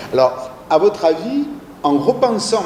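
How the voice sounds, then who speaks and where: Amid noticeable background noise and audible room echo, a man with a southern French accent speaks with very wide pitch swings. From southern France. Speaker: university lecturer leading a talk. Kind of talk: interactive lecture discussion. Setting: small audience room. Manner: hesitant, many fillers.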